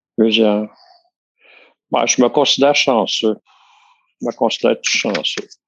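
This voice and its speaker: In a Quebec accent, a man talks at a fairly slow pace with long, frequent pauses. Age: 60s. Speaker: retiree. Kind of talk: casual chat.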